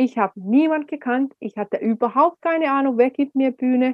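A woman talks at a high pitch and a fairly slow pace. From Finland. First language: Finnish (speaking German). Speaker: speaker and speech coach. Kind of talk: interview.

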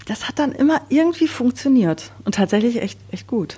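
A woman with a somewhat breathy, dark, mellow tone speaks at a moderate pace with lively intonation. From Sauerland, western Germany. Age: 30s. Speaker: podcast co-host. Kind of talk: casual chat.

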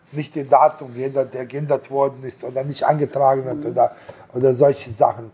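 A man talks at a fairly quick pace in monotone, flat intonation, with big swings in loudness. There is noticeable background noise. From abroad, came to Germany at 18. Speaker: restaurant and hotel owner. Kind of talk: casual interview. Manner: halting, many repetitions and fillers.

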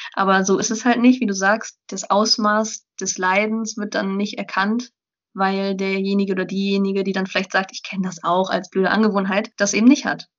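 In a monotone, flat intonation, a woman speaks at a medium pitch and a moderate pace. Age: 20s. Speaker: student and blogger. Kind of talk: interview.

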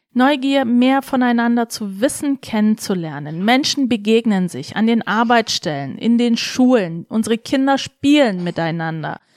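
A woman with a fairly high voice speaks fairly slowly in an animated tone, her pitch swinging very widely, the sound dry and close with no echo. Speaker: politician. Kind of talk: interview. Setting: studio.

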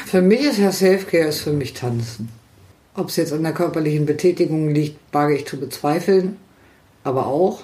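A woman's very deep, low-pitched voice at a moderate pace, with audible room echo. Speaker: podcast co-host. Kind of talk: casual chat.

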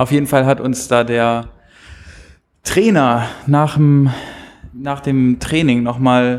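A man speaks at a very slow pace with fairly even intonation and long, frequent pauses. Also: medium pitch for a man. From Hamburg, Germany. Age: 20s. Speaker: television writer. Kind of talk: casual chat.

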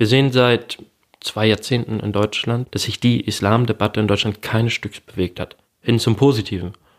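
In a plain, everyday voice, a man talks at a moderate pace and medium pitch with fairly even intonation, the sound dry and close with no echo. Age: 20s. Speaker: student and blog founder. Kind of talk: interview.

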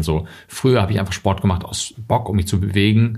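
A very deep, low, somewhat breathy male voice at a fairly quick pace, with fairly even intonation. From Germany. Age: 30s. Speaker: journalist and author. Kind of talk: interview.

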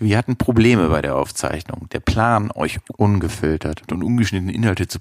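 A man is speaking. His pace is fairly slow. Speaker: podcast sound technician. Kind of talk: spoken intro announcement.

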